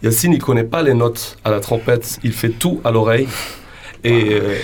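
A man with a medium-pitched voice and ordinary pitch variation speaks fairly slowly. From western Algeria. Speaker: band singer. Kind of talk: radio interview. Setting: radio studio. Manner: halting.

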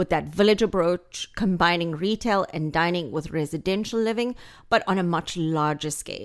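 A woman with a South African accent, fairly low in pitch, at a moderate pace with ordinary pitch variation, in a very clean recording with a silent background. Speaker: real estate agent. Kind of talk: casual chat. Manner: witty, warm.

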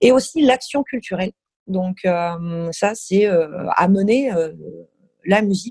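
Somewhat breathy speech with lively intonation at a very slow pace, in a dry, close sound with no echo. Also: woman. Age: 30s. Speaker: concert venue programmer. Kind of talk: casual interview.

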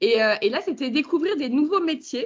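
Animated and fairly quick, a woman speaks with very wide pitch swings. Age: 40s. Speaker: company co-founder. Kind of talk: interview conversation.

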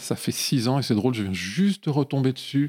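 A dark, mellow tone with ordinary pitch variation, in a very clean recording with a silent background and a dry, close sound with no echo. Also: man. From Lyon area, France. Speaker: film composer. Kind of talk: casual interview. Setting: home studio. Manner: hesitant, with frequent fillers.

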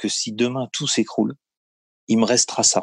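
Here a man talks at a medium pitch. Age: 30s. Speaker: building business owner and property investor. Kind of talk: interview. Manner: hesitant, many fillers.

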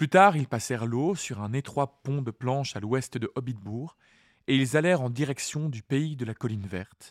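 In an unremarkable speaking voice, a man talks at a moderate pace with medium pitch and ordinary pitch variation, recorded very cleanly against a silent background in a dry, close sound with no echo. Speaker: podcast host and reader. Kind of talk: literary audiobook reading of the chapter, with commentary. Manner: calm, measured, storytelling narration.

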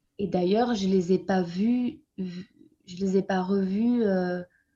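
Speaking at a very slow pace, a woman uses a medium pitch and a dark, mellow tone that is somewhat breathy. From France. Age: 30s. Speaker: young mother of a premature baby. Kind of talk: testimony. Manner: halting.

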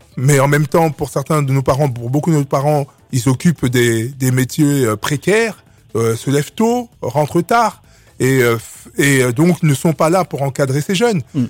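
A man's voice sits fairly high and carries lively intonation. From Republic of the Congo, raised in Clichy-sous-Bois, Paris suburbs. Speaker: association president. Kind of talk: radio interview. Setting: radio studio. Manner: halting.

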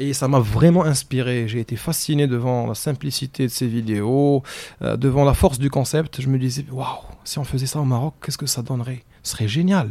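With a dark, mellow tone, a man at a medium pitch keeps fairly even intonation and a moderate pace. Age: young. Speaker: entrepreneur. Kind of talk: casual chat.

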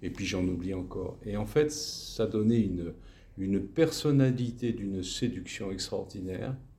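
A man speaks with a dark, mellow, somewhat breathy tone at a fairly low pitch with ordinary pitch variation. Room echo is audible. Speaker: retired teacher. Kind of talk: testimony interview. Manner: halting, many repetitions.

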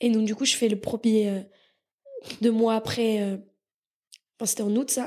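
A woman speaks at a fairly high pitch in a monotone, with flat intonation. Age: 20s. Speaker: startup founder and CEO. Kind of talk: casual interview.

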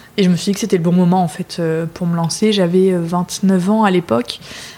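Noticeable background noise sits under a woman talking at a fairly low pitch. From northern France, Lille. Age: 30s. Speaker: restaurant founder. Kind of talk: interview conversation. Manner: hesitant with many fillers.

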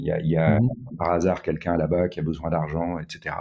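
A man's dark, mellow tone comes through at a fairly slow speed. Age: 60s. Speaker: tech entrepreneur. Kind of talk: interview conversation.

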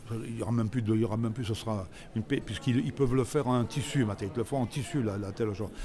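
This man talks at a very fast pace with ordinary pitch variation. His tone is dark and mellow. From Grenoble area, Isère, France. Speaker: actor and comedian. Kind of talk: casual chat. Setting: outdoors. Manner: halting, repeats words.

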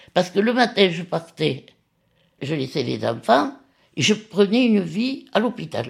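Her pitch is fairly low and swings very widely, with vocal fry throughout. The woman speaks at a fairly slow pace. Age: 80s+. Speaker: retired nurse and lab technician. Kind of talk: personal testimony.

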